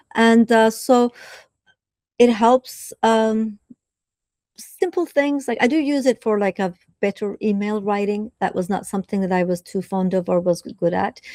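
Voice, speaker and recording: A woman with a Turkish accent, fairly high pitch, a dark, mellow tone and a fairly slow pace, in a dry, close sound with no echo. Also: ordinary pitch variation. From southern Turkey (Adana). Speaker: professor. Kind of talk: interview. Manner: hesitant, with frequent fillers.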